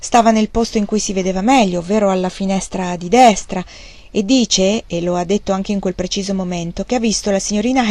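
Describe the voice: This is plain reading aloud. Nothing more is going on in the delivery.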